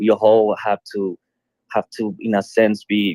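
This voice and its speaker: A man speaks with a Colombian accent. The sound is dry and close, with no echo. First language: Spanish. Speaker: musician and streamer. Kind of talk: casual chat. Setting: online audio room.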